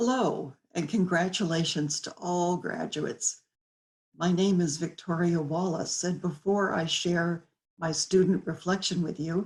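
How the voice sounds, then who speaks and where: A woman's fairly low, somewhat breathy voice at a fairly slow pace with fairly even intonation. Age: 70s. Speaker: graduating student. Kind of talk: commencement speech.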